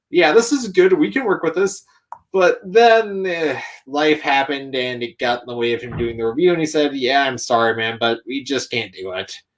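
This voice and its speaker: Pitched fairly high, a man talks at a moderate pace with very wide pitch swings. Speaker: YouTube content creator and toy customizer. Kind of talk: casual interview chat. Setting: live stream.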